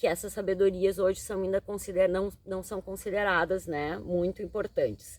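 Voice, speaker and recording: A woman speaks at a moderate pace with hardly any pauses. Her intonation is monotone and flat. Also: medium pitch for a woman. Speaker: tarot reader and psychologist. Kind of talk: tarot reading monologue.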